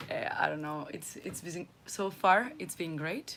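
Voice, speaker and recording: A woman with a fairly low pitch at a moderate pace, with noticeable background noise. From Basque Country, Spain. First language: Spanish or Basque. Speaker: primary school teacher, sailing crew member. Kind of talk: casual self-introduction.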